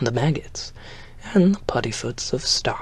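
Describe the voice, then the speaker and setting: A man speaks fairly slowly while noticeable background noise plays behind him. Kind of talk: ASMR audiobook reading. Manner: soft-spoken, quiet.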